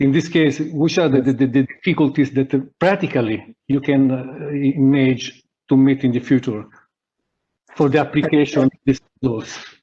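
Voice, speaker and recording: Speaking with an Italian accent, a man with a fairly high pitch and a dark, mellow tone keeps his intonation fairly even and his loudness very even at a moderate pace. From Italy. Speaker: panel co-moderator. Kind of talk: moderated panel discussion. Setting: video conference. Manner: halting.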